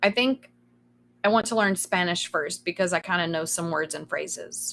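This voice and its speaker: A woman talks with a Kentucky accent at a moderate pace. Her pitch is medium, with ordinary pitch variation. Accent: Southern US (Kentucky). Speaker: streamer. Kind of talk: casual chat. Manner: sometimes trips over words.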